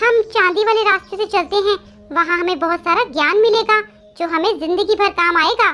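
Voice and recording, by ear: Over faint music in the background, a woman uses a cartoonish character voice at an extremely high pitch. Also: moderate pace.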